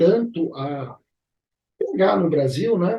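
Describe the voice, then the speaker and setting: Somewhat breathy, a man is speaking. His pace is very slow. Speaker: arbitration and mediation YouTuber. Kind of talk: educational vlog. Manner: casual, conversational.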